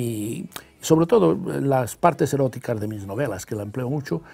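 Lively in intonation, a man's dark, mellow voice moves at a fairly slow pace. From Catalonia, Spain. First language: Catalan (speaking Spanish). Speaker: novelist; guest. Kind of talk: interview. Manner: hesitant, many fillers. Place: studio. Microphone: lapel.

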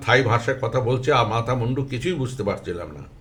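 A somewhat breathy quality runs through the voice. It belongs to a man. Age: 70s. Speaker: memoir author. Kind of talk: memoir reading.

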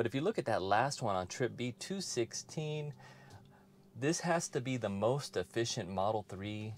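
Over noticeable background noise, a man talks at a moderate pace with lively intonation. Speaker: car owner vlogger. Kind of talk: casual vlog chat. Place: car.

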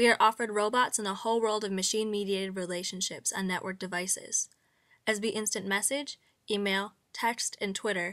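In a very clean recording with a silent background, a woman speaks at a fairly quick pace with a medium pitch and a bright, sharp tone. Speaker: narrator reading aloud. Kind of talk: literary monologue reading, scripted essay narration. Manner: measured, formal, reflective.

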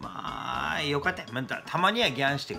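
With a Kumamoto accent, a man speaks at a moderate pace over faint music in the background. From Kumamoto, Japan. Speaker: internet radio host. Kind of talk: casual talk to camera. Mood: mock angry, complaining. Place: office. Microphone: webcam.

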